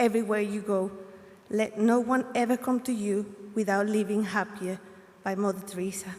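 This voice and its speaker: A woman with a Spanish accent speaks in a monotone, flat intonation. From Colombia. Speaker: graduating student. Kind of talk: graduation speech.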